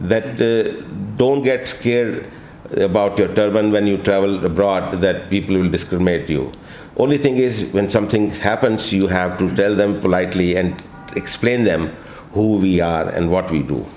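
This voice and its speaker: This man, fairly low in pitch, is heard with audible room echo and noticeable background noise. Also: ordinary pitch variation, moderate pace, very even loudness. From India (Kanpur, then Delhi). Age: 60s. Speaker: travel vlogger. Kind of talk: interview. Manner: halting with many fillers.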